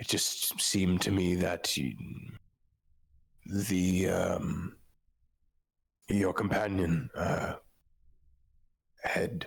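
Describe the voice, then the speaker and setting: A man's put-on character voice, raspy and very deep, at a very slow pace with long, frequent pauses and fairly even intonation. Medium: actual play. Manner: polite, hesitant, deferential.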